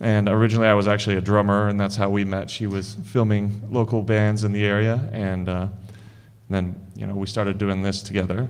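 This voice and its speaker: A man with a General American accent, fairly low in pitch, fairly quick, flat and monotone, with audible room echo. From Idaho, US. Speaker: digital artist and photographer. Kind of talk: conference presentation. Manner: casual.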